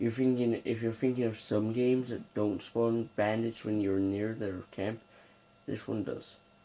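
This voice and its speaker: Soft-spoken and slow-paced, a man speaks with a dark, mellow tone and monotone, flat intonation. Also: medium pitch for a man. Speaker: gaming youtuber. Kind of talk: gameplay commentary. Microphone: may be too quiet.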